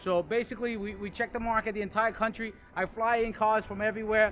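A man's raised, projected voice at a very fast pace, over faint music in the background. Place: street.

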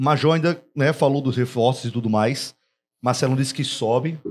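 A man's medium-pitched voice races along at a very fast pace. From Rio Grande do Norte, Brazil. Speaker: sports podcast host. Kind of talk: casual chat. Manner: animated. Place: studio. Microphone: studio mic.

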